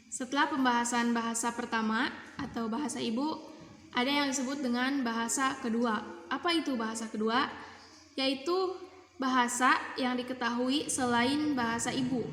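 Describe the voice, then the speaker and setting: Over noticeable background noise, a woman speaks in a high voice as room echo comes through. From Indonesia, West Java (Kuningan). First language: Sundanese (speaking Indonesian). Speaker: university student. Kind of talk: class assignment presentation.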